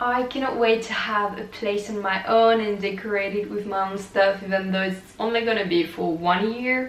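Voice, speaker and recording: A woman with a French accent at a moderate pace, noticeable background noise behind her. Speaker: vlogger, exchange student. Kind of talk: casual vlog monologue.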